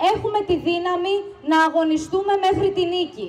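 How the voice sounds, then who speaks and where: Over light background noise, a woman talks at an extremely high pitch. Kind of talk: rally speech. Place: street. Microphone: podium.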